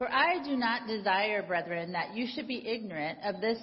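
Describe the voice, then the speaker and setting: A woman has a normal speaking voice with lively intonation. She talks at a moderate pace. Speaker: lay reader. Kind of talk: scripture reading. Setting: church.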